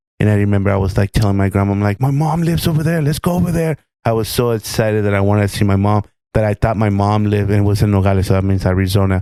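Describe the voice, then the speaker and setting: Speaking very fast in a Spanish accent, a man uses a fairly low, dark, mellow voice with ordinary pitch variation and very even loudness. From Mexico, Mazatlán. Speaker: podcast co-host and chef. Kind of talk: interview storytelling.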